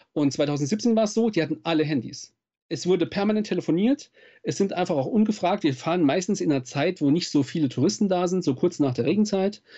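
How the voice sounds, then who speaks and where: A high-pitched man speaks with lively intonation at a fairly quick pace, his loudness very even throughout. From Saarland, southwest Germany. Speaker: nature photographer and speaker. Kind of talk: interview.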